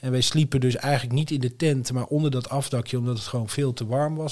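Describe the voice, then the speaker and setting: A man speaks at a fairly quick pace and a medium pitch. His tone is dark and mellow, with monotone, flat intonation. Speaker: podcast co-host. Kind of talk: casual chat.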